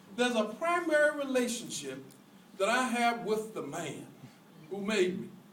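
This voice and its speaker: A man's high voice with very wide pitch swings, a moderate pace and long, frequent pauses, plus audible room echo and noticeable background noise. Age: 60s. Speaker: preacher on fundraising. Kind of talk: sermon. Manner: animated.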